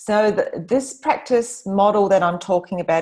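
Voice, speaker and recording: A woman's unremarkable speaking voice, with lively intonation at a moderate pace. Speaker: business coach presenting to agency owners. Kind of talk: webinar presentation.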